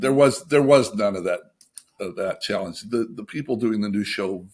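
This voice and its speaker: A man is heard on a very clean recording against a silent background. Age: 60s. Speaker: animation TV writer and showrunner. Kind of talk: casual interview chat. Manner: halting, with frequent repetitions.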